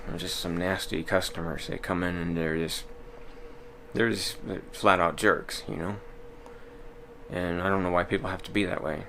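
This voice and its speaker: A man with an American accent and a very deep, low pitch, at a moderate pace with long, frequent pauses and audible room echo. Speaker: vlogger. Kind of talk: casual monologue vlog. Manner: monotone, little inflection; hesitant, many fillers.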